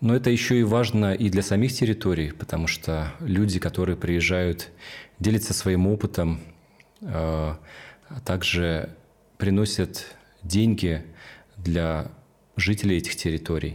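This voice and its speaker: A man's very deep, low voice at a fairly slow pace, with ordinary pitch variation, very even loudness and long, frequent pauses. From Russia, Kamchatka (Petropavlovsk-Kamchatsky). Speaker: social entrepreneur, tour organizer. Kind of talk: documentary interview.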